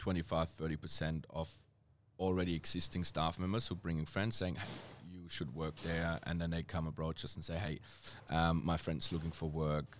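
This man has a German accent and a very deep, low pitch. He talks at a moderate pace. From Germany. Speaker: hospitality manager. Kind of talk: casual interview. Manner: hesitant, frequent fillers.

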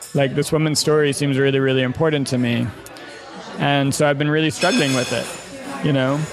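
A man's fairly high voice at a fairly quick pace, monotone and flat, with very even loudness, audible room echo and music in the background. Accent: American. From US Midwest, Chicago. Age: 40s. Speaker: journalist and podcaster. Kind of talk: casual interview conversation.

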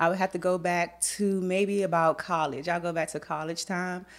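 Recorded very cleanly against a silent background, a woman with an American accent speaks at a medium pitch and moderate pace. She has an ordinary speaking voice with ordinary pitch variation. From Washington DC. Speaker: makeup artist and beauty educator. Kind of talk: podcast interview. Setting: studio, in person.

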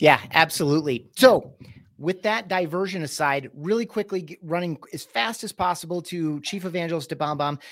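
On a very clean recording with a silent background, a man with an American accent, high in pitch, at a moderate pace, with ordinary pitch variation and big swings in loudness. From US Midwest, Michigan. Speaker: business executive and podcast host. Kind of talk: interview conversation.

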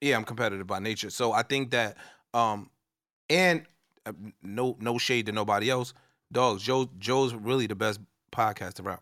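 This man speaks at a moderate pace with a medium pitch, a bright, sharp tone and ordinary pitch variation. Long pauses come often, and the recording is very clean with a silent background. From New Jersey, East Orange. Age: 40s. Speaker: podcast co-host appearing as guest. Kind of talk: casual chat. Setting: studio.

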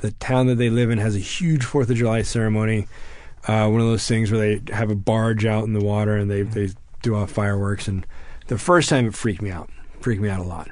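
With an American accent, a man talks at a very fast pace in a fairly low pitch. Audible room echo surrounds his voice. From Texas. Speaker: war veteran. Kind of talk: interview.

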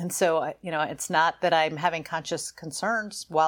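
A woman speaks in a plain, everyday voice, fairly low in pitch. She talks fairly quickly on a very clean recording with a silent background. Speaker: podcast co-host, endurance cyclist. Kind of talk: casual chat.

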